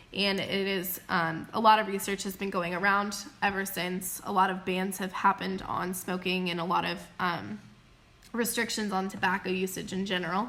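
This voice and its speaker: A woman's bright, sharp tone at a medium pitch, flat and monotone in its intonation. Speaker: school teacher. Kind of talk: recorded lesson. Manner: fast.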